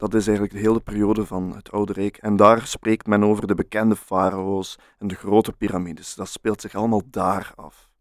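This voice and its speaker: Speaking fast with hardly any pauses, a man with a Flemish accent keeps a fairly low pitch and monotone, flat intonation while his loudness swings widely, in a dry, close sound with no echo. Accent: Flemish Dutch. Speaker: podcast co-host. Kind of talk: casual chat.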